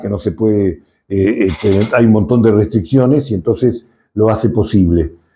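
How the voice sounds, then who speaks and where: At a fairly slow pace, a man talks in a fairly low pitch with a dark, mellow tone and ordinary pitch variation. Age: 70s. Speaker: dairy extension agronomist. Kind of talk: interview.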